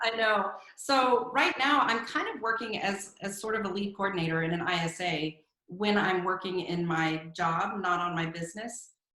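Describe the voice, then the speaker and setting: Moderate pace and medium pitch from a woman, with ordinary pitch variation and audible room echo. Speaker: real estate team owner. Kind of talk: podcast interview. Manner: loud.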